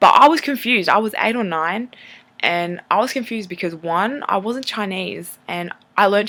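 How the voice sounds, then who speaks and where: In an Australian accent, a woman speaks at a moderate pace with medium pitch, ordinary pitch variation and a bright, sharp tone. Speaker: vlogger. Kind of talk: personal testimony vlog.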